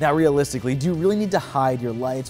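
A man speaks over faint music in the background. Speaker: product reviewer. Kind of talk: product review presentation. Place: garage.

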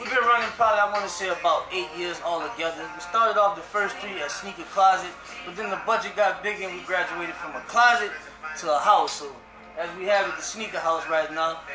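Clear music plays in the background as a man speaks in a raised, projected voice. His pace is fairly quick and his intonation fairly even. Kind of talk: interview answer. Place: shop.

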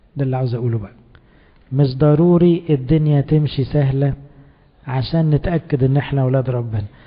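A man with an Egyptian accent talks at a moderate pace with fairly even intonation. His voice is fairly high in pitch and somewhat breathy. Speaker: priest; priest giving a sermon. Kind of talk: sermon. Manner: conversational. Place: church. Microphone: handheld.

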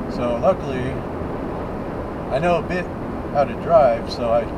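Loud background noise surrounds a man talking at a fairly slow pace. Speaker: driver vlogger. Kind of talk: casual vlog chat. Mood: relaxed storytelling. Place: car. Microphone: camera far.

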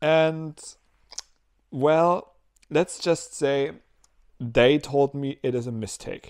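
Against a quiet background, a man speaks at a fairly high pitch with ordinary pitch variation. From Germany. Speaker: vlogger. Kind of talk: casual video diary. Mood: relaxed, upbeat. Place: home room. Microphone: lapel.

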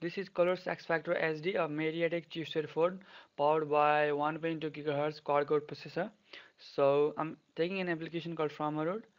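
Monotone, flat intonation delivered at a fairly quick pace. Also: man, fairly high pitch for a man. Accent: non-native. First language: not English. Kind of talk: tech tutorial voiceover. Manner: casual.

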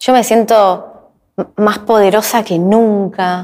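Against a quiet background, a woman with a Rioplatense accent talks at a medium pitch in a monotone, flat intonation. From Argentina. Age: 40s. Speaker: YouTuber and actress; YouTuber, actress. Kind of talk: interview. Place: studio.

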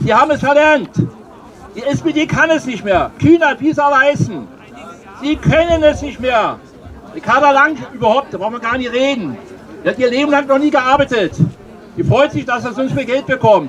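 Over crowd noise in the background, a man speaks loudly at an extremely high pitch, with ordinary pitch variation and long, frequent pauses. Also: moderate pace. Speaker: demonstrator; speaker. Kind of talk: rally speech, angry. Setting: outdoors with PA. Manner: loud, indignant, polemical. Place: street.

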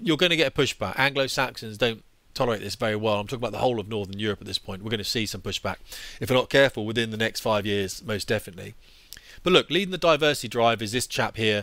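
A very fast British-accented man's voice, bright and sharp in tone, with ordinary pitch variation, dry sound with no echo and a quiet background. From England. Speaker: former fighter pilot, YouTuber. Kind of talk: angry rant. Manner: exasperated, sweary; sarcastic, forceful. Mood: annoyed, opinionated. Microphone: headset.

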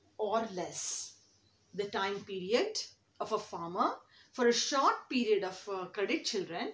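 A woman is talking. Audible room echo surrounds her voice. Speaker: teacher. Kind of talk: lecture. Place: classroom. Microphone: phone near.

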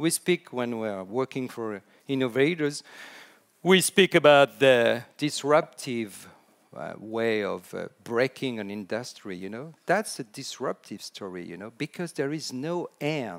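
Against a quiet background, a man with a French accent speaks with lively intonation and big swings in loudness. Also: fairly slow pace. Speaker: storytelling consultant. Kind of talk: conference talk. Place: hall.

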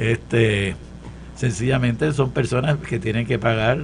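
A man's fairly slow speech comes over light background noise. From Puerto Rico, Santurce; Puerto Rico. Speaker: professor and political panelist; professor, panelist. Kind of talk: political panel discussion. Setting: studio. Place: studio. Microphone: studio mic.

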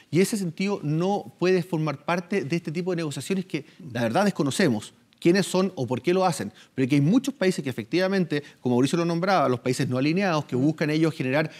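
A man with a fairly high pitch and lively intonation, very fast pace, quiet background. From Chile. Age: 30s. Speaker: politician. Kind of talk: news interview. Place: studio.

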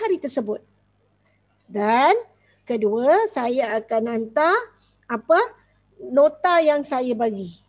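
The pitch swings very widely at a very slow pace. The background is quiet. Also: woman. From Malaysia. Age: 40s. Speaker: school teacher. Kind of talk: online class. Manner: code-switching Malay and English. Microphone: headset.

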